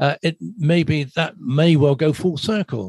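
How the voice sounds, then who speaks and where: A somewhat breathy voice with ordinary pitch variation, the sound dry and close with no echo. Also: man. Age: 70s. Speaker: agricultural podcast host. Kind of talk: interview. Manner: halting.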